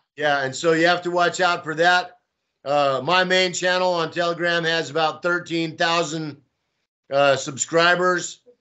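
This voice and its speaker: With a Texan accent, a man talks at a high pitch in a monotone, flat delivery and at a fairly slow pace. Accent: Texan American. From Texas. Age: 60s. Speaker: pro-Russian volunteer and blogger. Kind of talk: interview. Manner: casual, hesitant with fillers.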